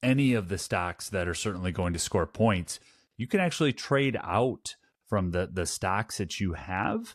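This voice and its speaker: On a very clean recording with a silent background, a man with a Wisconsin accent speaks in a fairly low pitch. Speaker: board game podcast co-host. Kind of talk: casual review chat. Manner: halting, many repeated words.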